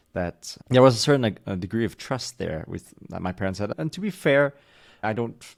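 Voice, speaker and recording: Fairly quick speech from a man, with ordinary pitch variation. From United States, diplomat family moving countries. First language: German. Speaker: podcast guest. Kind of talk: casual podcast conversation. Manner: halting.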